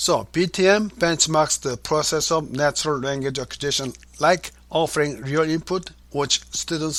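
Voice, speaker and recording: In a Korean accent, a man speaks at a moderate pace with a fairly high pitch and ordinary pitch variation. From South Korea. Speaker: author and language educator. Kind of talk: interview. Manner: formal.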